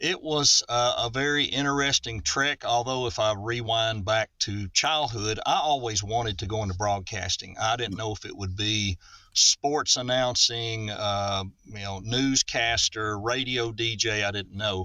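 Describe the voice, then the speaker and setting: A man speaks with a Southern US accent at a medium pitch. His pace is fairly slow, with ordinary pitch variation. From Middle Tennessee, US South. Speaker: voice actor. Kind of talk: podcast interview. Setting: remote recording call.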